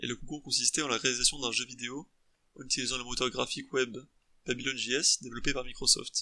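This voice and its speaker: Speaking at a fairly quick pace, a man uses fairly even intonation in a bright, sharp tone. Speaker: student game developer. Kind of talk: scripted narration; tutorial. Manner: fast; halting.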